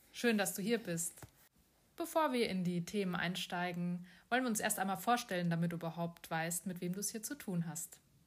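A woman talks in a somewhat breathy voice, her pitch varying in an ordinary way. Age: 40s. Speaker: podcast host, bank employee and coach. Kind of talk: casual chat. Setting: abroad on Koh Samui.

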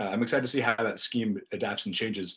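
A man talks at a fairly quick pace, with ordinary pitch variation. He has an ordinary speaking voice. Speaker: guest host, former football writer. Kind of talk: casual sports podcast chat.

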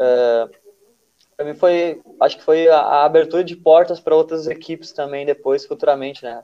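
Speaking at a moderate pace, a man with a dark, mellow tone and fairly high pitch keeps his intonation fairly even while his loudness swings widely. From southern Brazil, Rio Grande do Sul. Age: 20s. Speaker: futsal player. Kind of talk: casual interview chat.

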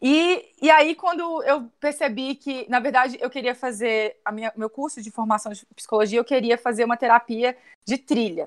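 A woman's fairly high-pitched, unremarkable speaking voice with ordinary pitch variation, in a dry, close sound with no echo on a very clean recording with a silent background. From Minas Gerais, Brazil (born in Brasília, moved as a baby). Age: 30s. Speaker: tourism graduate, holistic therapist and travel blogger. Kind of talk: casual interview.

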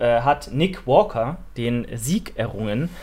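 Vocal fry runs through this voice, which has ordinary pitch variation. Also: man. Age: 20s. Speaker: fitness podcast host. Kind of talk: casual chat.

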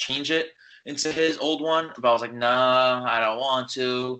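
This man has a plain, everyday voice with an American accent and a medium pitch. He speaks at a fairly slow pace with ordinary pitch variation. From New York. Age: 20s. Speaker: college student and fan account runner. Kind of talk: casual chat.

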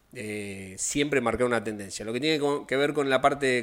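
The tone is bright and sharp, with ordinary pitch variation and a moderate pace. The recording is very clean, with a silent background. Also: man. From Argentina, Rosario. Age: 50s. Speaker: taekwondo instructor. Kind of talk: interview.

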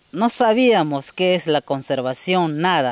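A man with a Peruvian Amazon accent, lively intonation and a fairly slow pace. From Peruvian Amazon, Shipibo community. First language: Shipibo-Konibo (speaking Spanish). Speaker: community forest patroller. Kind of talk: interview testimony. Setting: outdoors in the forest.

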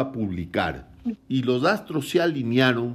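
Here a man speaks in a coastal Ecuadorian accent. His intonation is lively. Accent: coastal Ecuadorian, light s and soft r. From Ecuador, Guayaquil (coast). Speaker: author. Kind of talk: casual chat.

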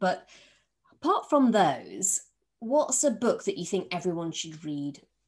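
Speaking at a moderate pace, a woman with a Yorkshire accent uses very wide pitch swings. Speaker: podcast host, former civil servant. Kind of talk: interview.

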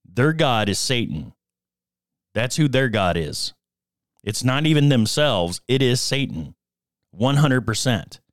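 The speech moves at a fairly slow pace with long, frequent pauses. Its intonation is lively, and vocal fry comes through. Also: man, medium pitch for a man. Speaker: podcast host. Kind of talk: solo monologue, confessional and faith-based talk. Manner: halting, stumbles over words; sincere, earnest.

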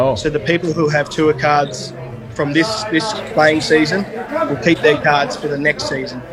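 A man with an Australian accent, fairly high in pitch, with ordinary pitch variation at a moderate pace, over noticeable background noise. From Perth, Western Australia. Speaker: golfer. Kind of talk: casual interview.

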